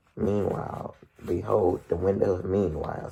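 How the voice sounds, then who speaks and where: A man puts on a raspy character voice with a very deep, low pitch. He speaks at a moderate pace. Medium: read story. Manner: cryptic, dry.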